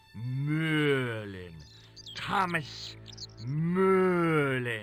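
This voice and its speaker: A put-on character voice sits at a low-to-middle pitch with a menacing tone. Music plays in the background. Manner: menacing, unhinged.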